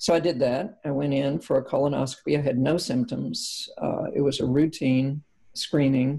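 A woman speaks in a Kentucky accent with a very deep, low pitch. Her voice is somewhat breathy, with ordinary pitch variation. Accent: Kentucky Southern US. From central Kentucky. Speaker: former politician, cancer survivor. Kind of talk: interview testimony. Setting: remote from her farmhouse. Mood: calm, reflective. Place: home room. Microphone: video call.

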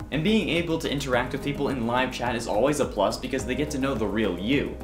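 Over clear music in the background, a man talks at a very fast pace with lively intonation. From Canada. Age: 20s. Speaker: online host and streamer. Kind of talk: casual talk to camera.

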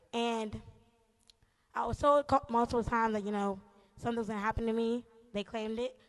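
A woman speaks at a fairly quick pace in a monotone, flat intonation. Long, frequent pauses break up her delivery. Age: 20s. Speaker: church member. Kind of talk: testimony. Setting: church. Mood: emotional, grateful. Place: church. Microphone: handheld.

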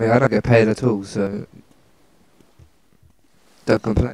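Fairly low in pitch, a man's slightly mellow voice keeps a fairly even intonation. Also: fairly slow pace.

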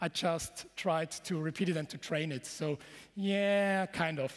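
A man speaks at a fairly slow pace. His pitch is fairly high, with ordinary variation.

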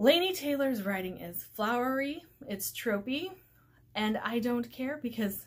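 The voice is somewhat breathy, with lively intonation. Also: woman. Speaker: book vlogger. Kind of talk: casual vlog chat. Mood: enthusiastic about books. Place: home room. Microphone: webcam.

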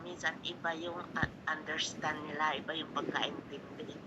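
There is noticeable background noise behind this woman. She speaks at a fairly slow pace in a Bisaya accent. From Visayas, Philippines. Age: old. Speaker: caller, viewer. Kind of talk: casual chat.

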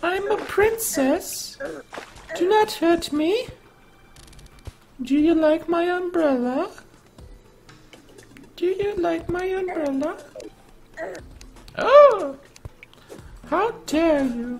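Music plays behind a put-on character voice with an extremely high pitch, delivered at a very slow pace with long, frequent pauses. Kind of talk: comic overacting. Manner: prissy, indignant.

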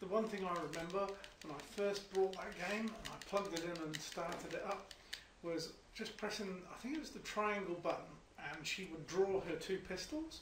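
This man speaks at a high pitch and a moderate pace, with ordinary pitch variation. Noticeable background noise and audible room echo are present. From not New Zealand. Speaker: gaming co-commentator. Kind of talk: casual chat.

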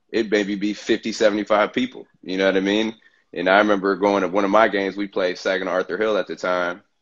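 A man's fairly low voice in an American accent, fairly quick in pace, monotone and flat, against a quiet background. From Michigan (Bay City); Michigan. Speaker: former basketball player; guest. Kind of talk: casual interview chat. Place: home room. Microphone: video call.

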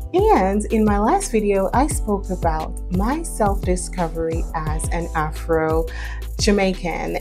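Faint music sits in the background. Over it, a woman talks. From Jamaica. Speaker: vlogger on heritage and dialect. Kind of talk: casual talk to camera. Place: home room. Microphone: lapel.

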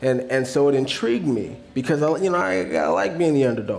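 Light background noise behind a man's moderate pace. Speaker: guest. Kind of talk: interview answer. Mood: relaxed, reflective. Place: stage.

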